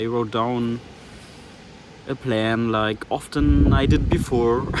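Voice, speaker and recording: The speaker has a German accent. Noticeable background noise runs underneath. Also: man. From Germany. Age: 20s. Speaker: vlogger. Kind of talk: personal vlog monologue. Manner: halting.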